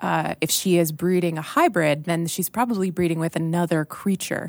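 A woman in an ordinary speaking voice talks at a moderate pace, fairly low in pitch with fairly even intonation, in a dry, close recording with no echo. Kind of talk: casual chat.

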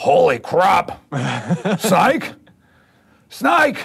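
In a put-on character voice, a man uses a raspy, high pitch that swings very widely. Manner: alarmed, shouting.

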